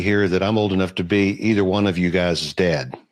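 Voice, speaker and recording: A man speaks at a fairly low pitch with fairly even intonation against a quiet background. His is an unremarkable speaking voice. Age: 60s. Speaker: real estate investor. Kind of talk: panel discussion.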